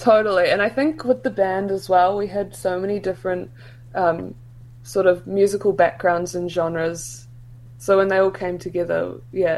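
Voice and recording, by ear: A woman speaks at a moderate pace in a fairly low pitch. Her intonation is fairly even and her tone slightly mellow.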